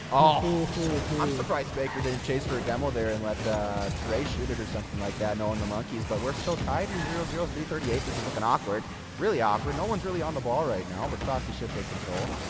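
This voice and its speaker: With music in the background and audible room echo, a man talks very fast in a medium pitch that swings very widely. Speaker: esports caster. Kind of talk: live commentary. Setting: livestream. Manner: animated.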